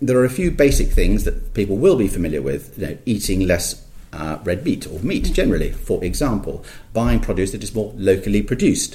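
A man's somewhat breathy voice, fairly quick pace and lively intonation, with audible room echo. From Scotland. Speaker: polar explorer and campaigner. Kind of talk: interview. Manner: hesitant, many fillers.

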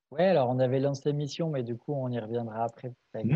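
A man's very fast speech at a medium pitch, with ordinary pitch variation. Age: 30s. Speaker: farmer and association president. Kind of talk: casual interview.

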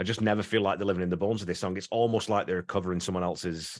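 In a quiet setting, a man races along at a very fast pace, keeping his intonation fairly even. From northern England. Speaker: podcast host. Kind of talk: casual podcast discussion.

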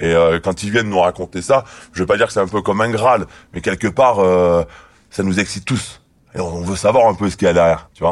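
Using a very deep, low pitch, a man speaks at a fairly quick pace with fairly even intonation. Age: 30s. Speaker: former drug squad police officer. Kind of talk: testimony. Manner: halting.

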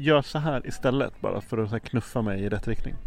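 An ordinary speaking voice: a man talks at a moderate pace with fairly even intonation. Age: 50s. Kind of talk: casual interview.

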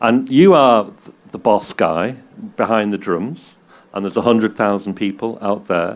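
With a Manchester accent, a man speaks fairly slowly in a fairly low pitch, with ordinary pitch variation. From England, Manchester. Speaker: DJ and journalist, interviewer. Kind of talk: live on-stage interview. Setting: stage with audience.

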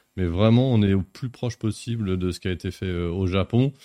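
A man with a normal speaking voice and a fairly low pitch talks at a moderate pace. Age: 40s. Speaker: publishing marketing director. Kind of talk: live-streamed interview.

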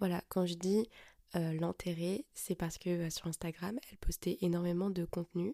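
Dry and close with no echo, a woman's fairly low, dark, mellow voice moves at a fairly slow pace with fairly even intonation. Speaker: podcast host. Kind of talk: personal monologue. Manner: hesitant, many fillers.

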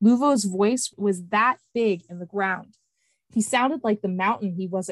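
Reading aloud in a natural voice, with ordinary pitch variation against a quiet background

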